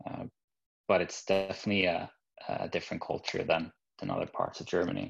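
Speaking at a fairly quick pace with a Norwegian accent, a man leaves long, frequent pauses. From Norway. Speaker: business manager. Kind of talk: interview. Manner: halting, many fillers and repeats.

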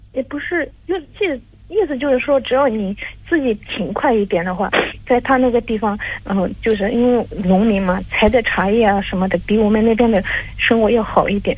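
A woman's somewhat breathy, fairly high voice at a fairly quick pace with lively intonation. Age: 30s. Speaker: caller seeking marriage advice. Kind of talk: advice call. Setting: phone call. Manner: halting.

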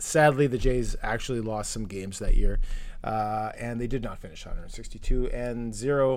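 A man at a fairly slow pace, big swings in loudness, audible room echo. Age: 40s. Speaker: podcast co-host. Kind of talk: casual chat.

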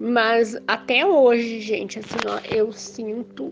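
Music in the background beneath a woman's fairly high-pitched voice. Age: 50s. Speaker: near-death experience survivor. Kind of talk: testimony.

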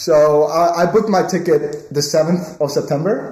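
A man talks over noticeable background noise, his pitch rising and falling in an ordinary way. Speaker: podcast co-host, university student. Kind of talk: casual chat. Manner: fast talker.

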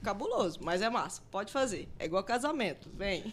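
A woman at a moderate pace, her pitch swinging very widely, with noticeable background noise. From Mato Grosso, Brazil (Rondonópolis). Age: 30s. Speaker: advertising professional and crypto investor. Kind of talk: casual chat.

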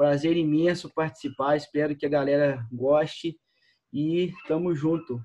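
At a fairly slow pace, a man uses a dark, mellow tone with fairly high pitch and fairly even intonation. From Minas Gerais, Brazil. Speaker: CrossFit coach. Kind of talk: casual chat.

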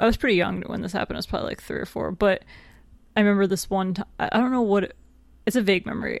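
Very fast and marked by vocal fry, a woman speaks with an American accent. Her pitch is medium and her intonation fairly even. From New York State. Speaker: podcast co-host. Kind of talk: casual chat. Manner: joking, bantering.

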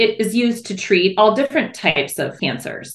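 Speaking with an American accent, a woman uses lively intonation. Her pitch is fairly high. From US Midwest, Michigan's Upper Peninsula. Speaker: mother of athletes. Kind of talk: interview conversation.

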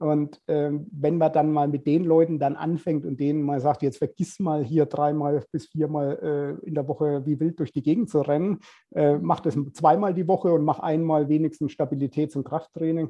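With a plain, everyday voice, a man speaks at a moderate pace with a fairly high pitch and fairly even intonation. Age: 50s. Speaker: personal trainer. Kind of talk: casual interview.

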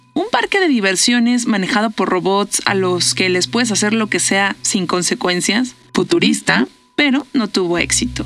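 A woman with a Mexican accent speaks at a medium pitch and moderate pace, with lively intonation and very even loudness, as music plays in the background. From Mexico. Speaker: podcast host. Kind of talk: casual monologue. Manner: animated.

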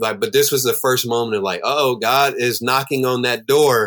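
A man with an unremarkable speaking voice, medium in pitch, at a moderate pace with ordinary pitch variation. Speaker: professional basketball player and preacher. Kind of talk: casual interview conversation.

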